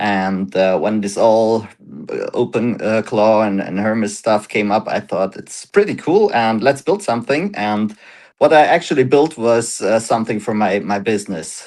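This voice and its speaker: A man with a German accent speaks at medium pitch and a moderate pace, with ordinary pitch variation against a quiet background. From Germany. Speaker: startup founder. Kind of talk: interview. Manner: halting.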